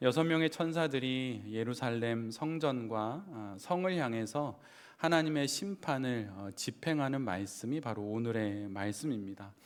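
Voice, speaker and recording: With audible room echo, a man at a medium pitch talks fairly slowly, his intonation lively. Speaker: pastor. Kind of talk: sermon.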